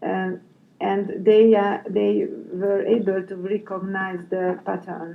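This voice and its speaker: Flat, monotone speech comes at a very slow pace in a Hungarian accent. The room echoes audibly, and background noise is noticeable. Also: woman, medium pitch for a woman. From Hungary. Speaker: head teacher. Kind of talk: interview. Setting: conference. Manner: halting, many fillers.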